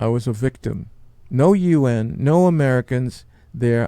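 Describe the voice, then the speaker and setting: A dark, mellow tone with a New York accent. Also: man. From New York City. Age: 70s. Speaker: podcast host and Marine veteran. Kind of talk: personal testimony. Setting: studio.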